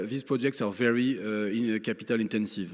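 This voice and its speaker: A man with a French accent, fairly low in pitch, at a fairly quick pace with ordinary pitch variation. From France. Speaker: lawyer, conference speaker. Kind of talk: conference speech. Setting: conference stage with audience. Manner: halting, many fillers.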